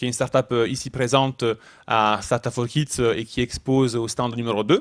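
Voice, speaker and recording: A man speaks with an Italian accent at a medium pitch, his intonation fairly even. The pace is moderate, and the recording is very clean with a silent background. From Italy. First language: Italian (speaking French). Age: 30s. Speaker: startup founder. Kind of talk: talk to a young audience. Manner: halting.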